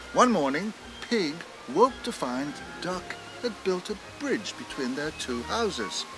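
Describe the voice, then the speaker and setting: Music plays behind a man whose high pitch moves in very wide swings. He speaks at a fairly slow pace. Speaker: celebrity actor narrating an animated short. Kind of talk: storybook narration, children's story reading. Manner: warm, expressive.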